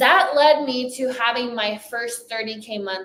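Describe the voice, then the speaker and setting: Fairly slow delivery with a slight French accent and ordinary pitch variation. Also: woman. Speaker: business coach. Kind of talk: motivational talk.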